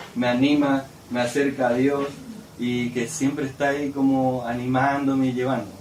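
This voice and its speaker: Amid noticeable background noise and audible room echo, a man speaks at a moderate pace and medium pitch. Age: 20s. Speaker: missionary preacher. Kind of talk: sermon. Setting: church service.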